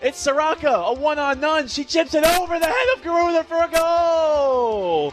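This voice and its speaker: A man with an extremely high pitch, hardly any pauses, and music in the background. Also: ordinary pitch variation, moderate pace. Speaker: sports play-by-play broadcaster. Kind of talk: soccer play-by-play.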